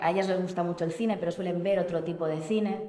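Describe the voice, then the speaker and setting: A woman speaks in a fairly low voice with fairly even intonation. Audible room echo and noticeable background noise surround her. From Spain, outskirts of Barcelona (Catalonia). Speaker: film director. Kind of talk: panel talk about her film. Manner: hesitant, many fillers.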